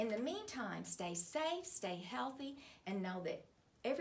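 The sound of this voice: The clip features an unforced reading voice.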